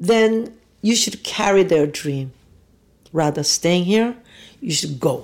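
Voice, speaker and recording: A woman talks with a Korean accent and lively intonation. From South Korea. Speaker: restaurateur and kimchi maker. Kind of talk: personal interview, telling life story.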